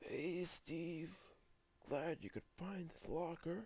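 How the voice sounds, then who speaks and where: A man puts on a character voice with a high pitch. He speaks at a very slow pace with fairly even intonation. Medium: read story.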